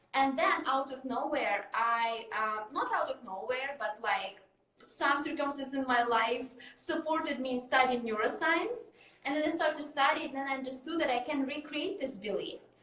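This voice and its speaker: This woman's high-pitched voice is raised and projected, with a bright, sharp tone. Her intonation is lively. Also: moderate pace. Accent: Russian. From Russia. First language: Russian. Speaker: mindset coach. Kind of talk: interview.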